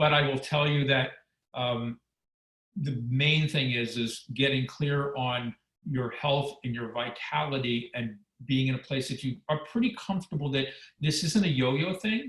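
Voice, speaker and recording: At a fairly slow pace, a man speaks in a plain, everyday voice with a fairly high pitch and ordinary pitch variation. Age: 60s. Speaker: former weight-loss reality show contestant, wellness expert. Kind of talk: webinar interview.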